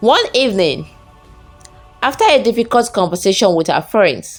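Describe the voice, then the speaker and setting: Music plays in the background as a woman speaks at a medium pitch and a fairly slow pace. Her pitch swings very widely. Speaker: storyteller. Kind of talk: folktale story narration.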